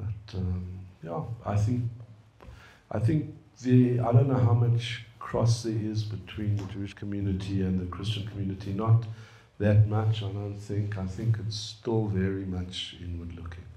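A man's fairly low, dark, mellow and somewhat breathy voice, fairly even in intonation, at a moderate pace with audible room echo. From South Africa, Johannesburg. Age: 60s. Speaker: computer scientist and businessman; guest. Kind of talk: personal talk and dialogue. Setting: room with live audience. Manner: hesitant with fillers. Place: meeting room. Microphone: handheld.

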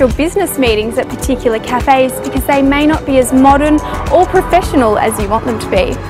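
A woman speaks in a high pitch with ordinary pitch variation while clear music plays in the background. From Australia. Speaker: TV presenter. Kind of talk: venue promo presenting. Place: street. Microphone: lapel.

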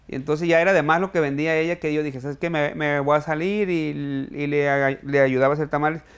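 A man talks at a very fast pace with hardly any pauses. His intonation is fairly even, and the background is quiet. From Mexico, Sinaloa (Culiacán area); Sinaloa, Mexico. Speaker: chef and restaurant owner; interview guest. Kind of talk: interview. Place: studio.

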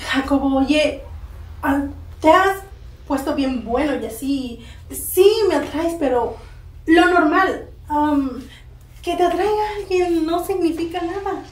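A woman with an extremely high pitch speaks very slowly, with ordinary pitch variation, long and frequent pauses, and audible room echo. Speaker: actress in a comedy sketch. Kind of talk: scripted comedic dialogue. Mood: teasing, dismissive, playful.

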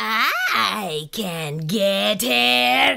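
A put-on character voice sits at a middle pitch. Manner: hissing.

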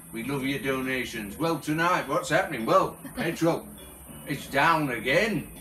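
A man at a fairly slow pace, with ordinary pitch variation, audible room echo and faint music in the background. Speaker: home vlogger. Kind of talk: casual vlog chat. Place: home room. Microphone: phone near.

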